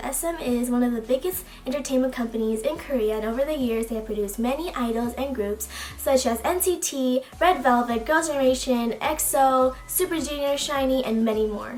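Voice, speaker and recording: A woman's high-pitched voice at a fairly quick pace with hardly any pauses and ordinary pitch variation, over noticeable background noise. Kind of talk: casual talk to camera.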